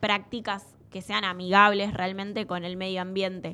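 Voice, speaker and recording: A woman speaks with a bright, sharp tone at medium pitch. The recording is very clean, with a silent background. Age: 20s. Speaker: radio host, environmental agency staffer. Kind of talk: radio interview and presentation. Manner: halting, with frequent fillers and repetitions.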